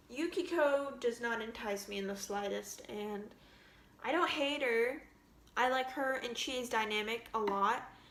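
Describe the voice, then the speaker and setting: A woman at a fairly slow pace, with ordinary pitch variation, audible room echo and noticeable background noise. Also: fairly high pitch for a woman. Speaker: gaming vlogger. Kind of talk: casual rant. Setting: home, filmed on camera. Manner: rambling with many fillers. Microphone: camera audio, far from the mic.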